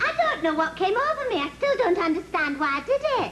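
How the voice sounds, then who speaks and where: A squeaky, put-on character voice runs at a fairly quick pace with very wide pitch swings. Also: woman, extremely high pitch for a woman. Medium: comedy sketch.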